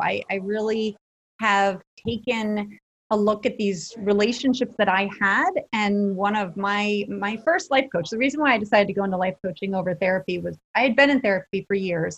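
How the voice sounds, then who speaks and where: Using a plain, everyday voice, a woman talks at a moderate pace with a fairly high pitch and ordinary pitch variation. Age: 40s. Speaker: life and relationship coach. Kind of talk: interview. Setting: podcast recording.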